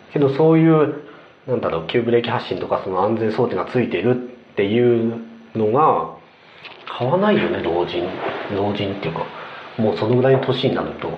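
A man's medium-pitched voice with lively intonation at a fairly quick pace, plus audible room echo and noticeable background noise. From Kanazawa, Ishikawa, Japan. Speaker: podcast co-host, creator. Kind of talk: casual chat.

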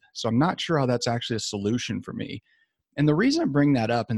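Speech comes at a very fast pace in a dry, close sound with no echo. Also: man. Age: 50s. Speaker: sports medicine doctor. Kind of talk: interview. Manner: casual with fillers.

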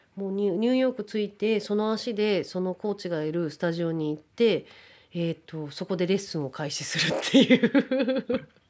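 In a very clean recording with a silent background, a woman with an ordinary speaking voice talks at a moderate pace and a medium pitch. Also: lively intonation. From Japan (Kawagoe, Saitama), partly raised in the US. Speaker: actor and freelance announcer. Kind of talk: interview.

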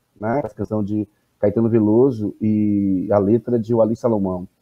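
A man speaks at a fairly slow pace. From Salvador, Bahia, Brazil. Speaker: professor and anthropologist. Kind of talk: interview.

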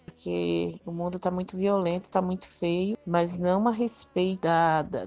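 A woman with a plain, everyday voice, fairly low in pitch and fairly slow, against a quiet background. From Northeast Brazil. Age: 50s. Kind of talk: testimony.

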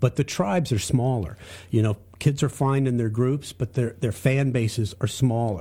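Recorded very cleanly against a silent background, a man with an American accent speaks at a moderate pace in a medium pitch, his dark, mellow tone somewhat breathy, with ordinary pitch variation. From US South, Charlotte, North Carolina. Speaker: music industry executive. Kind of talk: casual chat.

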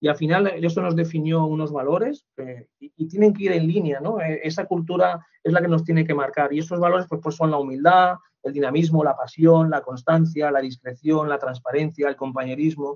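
Pitched fairly high, a man with a plain, everyday voice talks at a moderate pace with fairly even intonation and hardly any pauses. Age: 40s. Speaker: human resources manager. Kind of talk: interview.

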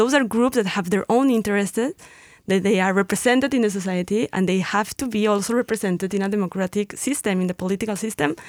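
In a very clean recording with a silent background and a dry, close sound with no echo, a woman with a Mexican accent talks at a very fast pace with hardly any pauses, using a medium pitch and ordinary pitch variation. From Mexico. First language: Spanish. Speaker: educator and political analyst. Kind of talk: casual panel discussion. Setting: studio.

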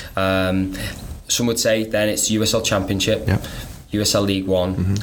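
A man's fairly low, monotone voice with flat intonation and a Welsh accent, at a moderate pace, with audible room echo and noticeable background noise. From North Wales. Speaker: soccer coach. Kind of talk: casual interview.

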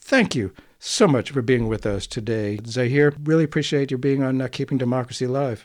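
Against a quiet background, a man with a normal speaking voice talks at a medium pitch and a fairly quick pace, his pitch varying in an ordinary way. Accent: American. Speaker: radio host. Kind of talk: interview discussion.

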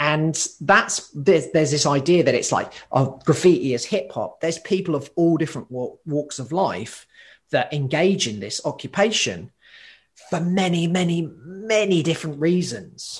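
Against a quiet background, a man with a British accent talks at a fairly high pitch with ordinary pitch variation. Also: moderate pace. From UK. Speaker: occupational therapist and graffiti writer. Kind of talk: casual interview.

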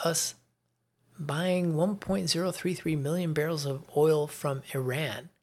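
At a fairly slow pace, a man with an American accent speaks at a fairly high pitch in an ordinary speaking voice, with ordinary pitch variation, on a very clean recording with a silent background. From US Midwest. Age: 50s.

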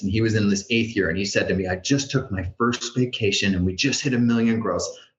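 A man of medium pitch at a fairly quick pace, an unremarkable speaking voice. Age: 40s. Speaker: franchise consultant. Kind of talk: interview podcast.

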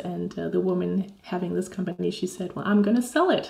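A woman speaks with a Danish accent in a dark, mellow tone. Her voice carries vocal fry. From Denmark. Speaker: Danish language teacher. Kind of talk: interview.

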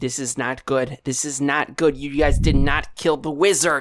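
Putting on a character voice, a man speaks at a moderate pace with a fairly high pitch and fairly even intonation. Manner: worried, alarmed.

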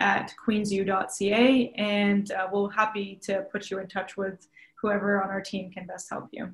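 In a Canadian accent, an ordinary speaking voice moves at a fairly slow pace. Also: woman. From Ontario, Mohawk territory (Tyendinaga). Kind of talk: interview. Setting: virtual studio, remote.

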